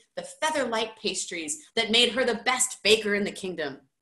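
A woman with a fairly high pitch speaks in a room with audible echo and a quiet background. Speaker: high school teacher. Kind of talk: children's book read-aloud. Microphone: webcam.

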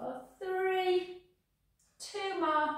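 A woman's voice carries strong room echo. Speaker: fitness instructor. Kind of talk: exercise class instruction. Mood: cheerful, chatty. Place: gym. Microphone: camera far.

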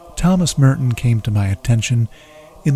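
A man's voice sounds dry, with no echo. Faint music plays in the background. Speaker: documentary narrator, blog host. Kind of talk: documentary narration.

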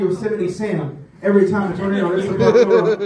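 There is audible room echo around a man speaking at a high pitch. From Memphis, Tennessee. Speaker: stand-up comedian. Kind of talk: stand-up comedy bit to a live audience. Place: bar. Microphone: pa.

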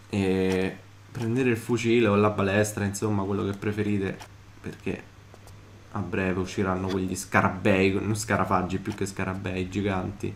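A man's fairly low voice at a moderate pace, monotone and flat in intonation, with audible room echo. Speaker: gaming YouTuber. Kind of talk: let's play commentary.

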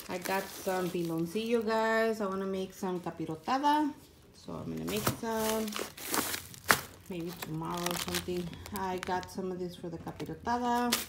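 Over loud background noise, a woman speaks at a moderate pace with ordinary pitch variation. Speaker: home vlogger. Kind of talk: casual grocery haul vlog. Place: home room. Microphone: phone near.

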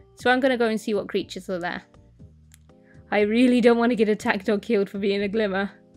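Very fast speech with fairly even intonation and long, frequent pauses, over music in the background. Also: woman, fairly high pitch for a woman. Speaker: gaming video creator. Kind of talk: gameplay commentary.

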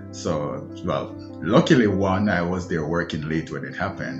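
A man talks in a very deep, low voice. Music plays clearly in the background. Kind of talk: interview answer. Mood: calm, measured storytelling. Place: home room. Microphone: phone near.

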